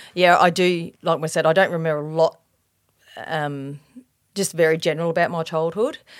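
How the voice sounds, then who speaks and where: Speaking at a moderate pace with long, frequent pauses, a woman with an Australian accent has a fairly low pitch and monotone, flat intonation. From Australia, Adelaide northern suburbs (Elizabeth, Salisbury). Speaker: police officer sharing faith testimony. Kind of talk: testimony. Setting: podcast interview. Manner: hesitant, many fillers.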